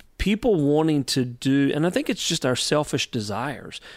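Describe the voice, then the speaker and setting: Recorded very cleanly against a silent background, a man with a Southern US accent talks at a moderate pace with ordinary pitch variation. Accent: US South. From North Carolina. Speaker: youth ministry leader. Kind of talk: interview. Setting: on location in a historic theater.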